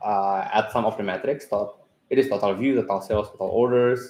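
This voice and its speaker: The pace is fairly quick. A man delivers his words with fairly even intonation. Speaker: software company staff giving product webinar. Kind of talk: tutorial. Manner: hesitant, many fillers.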